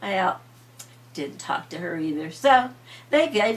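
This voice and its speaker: A woman speaks at a medium pitch with very wide pitch swings. Her pace is fairly slow. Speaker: grandmother storyteller. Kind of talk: bedtime story telling.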